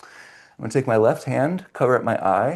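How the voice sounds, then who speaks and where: Over a quiet background, a man with an ordinary speaking voice talks at a medium pitch with ordinary pitch variation. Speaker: movement and fascia class instructor. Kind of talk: online fitness class instruction. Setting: video call class.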